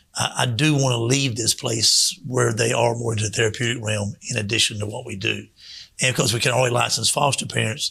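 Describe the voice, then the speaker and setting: Delivered at a fairly quick pace, a man's bright, sharp tone carries a medium pitch, fairly even intonation, and vocal fry. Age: 60s. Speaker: children's home director. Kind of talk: radio interview. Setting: radio studio.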